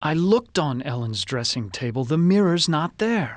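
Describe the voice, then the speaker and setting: In a very clean recording with a silent background, a man uses a put-on character voice at a fairly high pitch. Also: moderate pace. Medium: video game. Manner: wary, questioning.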